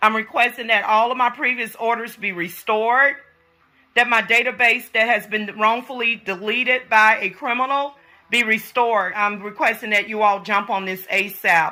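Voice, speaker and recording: A woman with an American accent speaks loudly at a moderate pace, her fairly high pitch carrying a bright, sharp, animated tone. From US. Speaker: vlogger. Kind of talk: complaint vlog.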